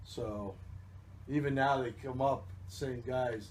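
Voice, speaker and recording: In a room with audible echo, a man talks in a somewhat breathy voice with ordinary pitch variation. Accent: American. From New Jersey. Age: 60s. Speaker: baseball team general manager. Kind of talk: interview. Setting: radio broadcast.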